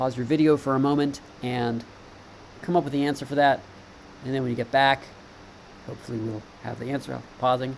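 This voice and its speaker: Amid noticeable background noise, a man of medium pitch talks at a fairly quick pace in a monotone, flat intonation, broken by long, frequent pauses. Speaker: teacher. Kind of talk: lecture. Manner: halting.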